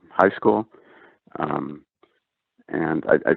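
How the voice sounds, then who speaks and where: This is a man speaking. He talks with an Upper Midwest accent. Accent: Upper Midwest American. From US Midwest, rural North Dakota. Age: 60s. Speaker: NASA engineer. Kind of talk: interview. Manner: halting, many fillers.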